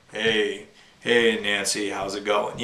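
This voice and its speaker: A man puts on a character voice at a fairly low pitch. Echo is audible. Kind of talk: radio announcer.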